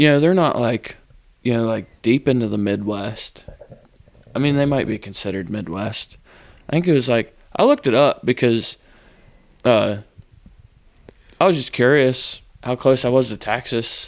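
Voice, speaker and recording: A medium-pitched man at a moderate pace, with ordinary pitch variation and long, frequent pauses. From Pennsylvania, outside eastern PA. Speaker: bullfighter. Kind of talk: casual chat. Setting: garage.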